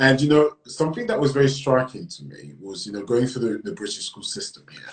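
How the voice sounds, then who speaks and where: The voice is somewhat breathy, with lively intonation and big swings in loudness. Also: man, medium pitch for a man. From lived on several continents, then grew up in Britain. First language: French. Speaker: writer and magazine editor. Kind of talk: podcast interview. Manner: hesitant, many fillers.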